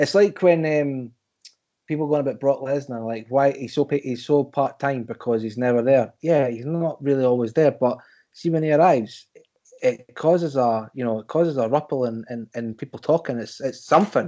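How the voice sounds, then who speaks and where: The voice has a dark, mellow tone and speaks with a Scottish accent. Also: man, fairly high pitch for a man, ordinary pitch variation, moderate pace. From Scotland. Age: 30s. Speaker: wrestling podcast guest. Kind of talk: casual chat. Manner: animated.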